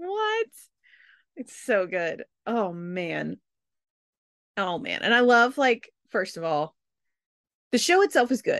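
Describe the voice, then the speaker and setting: In a dry, close recording with no echo, a woman with an American accent and a fairly high pitch speaks at a very slow pace, her pitch swinging very widely and her pauses long and frequent. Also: quiet background. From US South. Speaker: podcast host. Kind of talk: casual chat.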